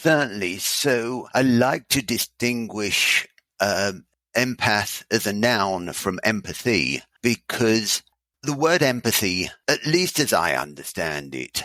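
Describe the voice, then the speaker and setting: In a dry, close sound with no echo, a man at medium pitch speaks very slowly in a bright, sharp tone, with vocal fry and very wide pitch swings. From Britain. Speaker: author. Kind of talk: interview.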